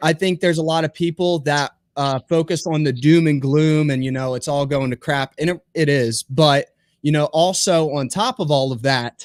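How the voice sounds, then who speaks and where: A man with an American accent and a plain, everyday voice, fairly high in pitch, with ordinary pitch variation, a moderate pace, and a dry, close sound with no echo. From US Northeast. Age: young. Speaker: young homesteader and podcaster. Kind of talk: casual chat.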